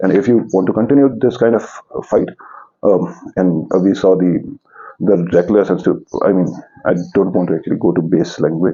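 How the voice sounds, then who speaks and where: A man with a very deep, low pitch talks at a fairly quick pace with ordinary pitch variation. His loudness stays very even, broken by long, frequent pauses. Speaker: political commentator. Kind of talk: political commentary monologue. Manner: halting.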